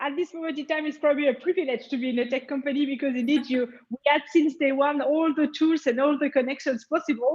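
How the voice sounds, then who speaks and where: A woman with a French accent and a high pitch talks at a very fast pace with hardly any pauses and fairly even intonation. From France. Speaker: tech sales executive. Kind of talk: interview.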